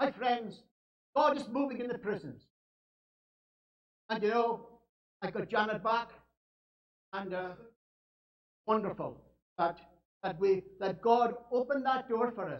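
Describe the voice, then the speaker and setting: With a Scottish accent, a man speaks at a high pitch and a fairly slow pace with ordinary pitch variation. He leaves long, frequent pauses. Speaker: evangelist. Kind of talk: sermon.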